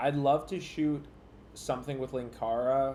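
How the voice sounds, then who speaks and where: Over audible room echo, a man with a dark, mellow tone and medium pitch talks at a fairly slow pace with fairly even intonation. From rural area, horse country. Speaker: YouTuber streamer. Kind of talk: casual livestream chat. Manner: quiet, stilted; sarcastic, intimidating-sounding.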